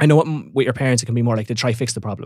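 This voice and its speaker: A man with an Irish accent speaks at a very fast pace. His medium pitch follows fairly even intonation. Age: 20s. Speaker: online fitness coach. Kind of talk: casual chat.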